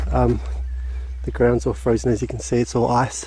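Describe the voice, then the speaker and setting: At a moderate pace, a man speaks in a very deep, low pitch with fairly even intonation, the sound dry with no echo and light background noise behind it. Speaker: explorer vlogger. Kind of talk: casual vlog commentary. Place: open country. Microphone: phone near.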